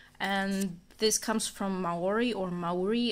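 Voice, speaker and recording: In a very clean recording with a silent background, a woman talks with a non-native accent and fairly even intonation. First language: not English. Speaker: amateur artist, vlogger. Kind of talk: casual sketchbook walkthrough. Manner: casual, filler-heavy.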